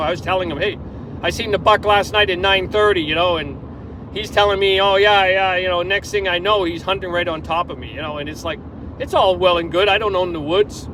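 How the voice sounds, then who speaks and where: Over noticeable background noise, a man with a high pitch talks in a raised, projected voice at a fairly quick pace, his intonation fairly even. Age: 60s. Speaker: hunter. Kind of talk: casual monologue. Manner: halting.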